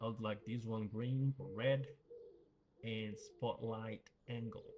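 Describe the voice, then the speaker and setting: Mumbling, somewhat breathy speech. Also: man. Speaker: gaming youtuber. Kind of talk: gameplay commentary. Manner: casual, many fillers and repeats.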